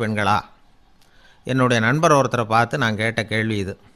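A man's plain, everyday voice with ordinary pitch variation. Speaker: radio orator and storyteller, radio programme host. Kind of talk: humorous radio-style talk.

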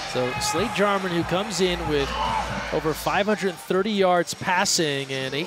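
Over noticeable background noise, a man with a high pitch sounds animated, his intonation lively. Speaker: play-by-play commentator. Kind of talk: live sports commentary. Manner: animated, fast-paced play-by-play.

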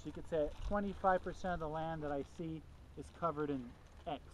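Light noise sits in the background, while the voice itself is dry with no echo. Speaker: field class instructor. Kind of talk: lecture. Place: open country. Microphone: camera far.

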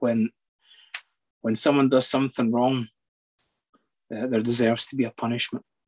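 A man with a Scottish accent speaks at a moderate pace in a monotone, flat intonation, with long, frequent pauses. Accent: Scottish (Edinburgh area). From Scotland, near Edinburgh; Scotland. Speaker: psychologist; guest. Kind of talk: personal testimony. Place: home room. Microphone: video call.

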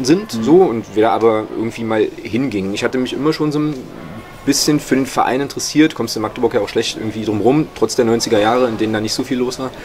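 A man races along at a very fast pace with ordinary pitch variation while light background noise plays. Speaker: interviewee. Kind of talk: interview answer. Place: home room. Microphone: studio mic.

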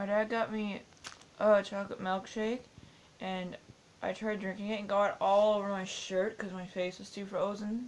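With light background noise, a woman speaks at a moderate pace in a monotone, flat intonation. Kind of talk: casual vlog chat. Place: home room. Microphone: webcam.

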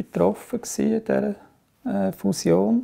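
A man speaks at a very slow pace. His tone is dark and mellow. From Aargau, Switzerland. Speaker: trade unionist and politician. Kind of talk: oral history interview answer. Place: home room.

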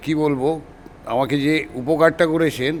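A man's fairly high-pitched voice with fairly even intonation, a plain, everyday voice. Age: 60s. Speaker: customer giving a testimonial. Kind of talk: testimony.

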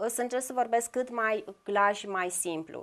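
A woman talks with ordinary pitch variation, and the background stays quiet. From Brăila, Romania; Romania. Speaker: visual artist; guest. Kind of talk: TV interview. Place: studio.

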